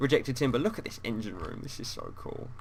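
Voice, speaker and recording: A man with a British accent speaks in a bright, sharp tone, his pitch swinging very widely. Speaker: gaming YouTuber. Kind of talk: casual chat.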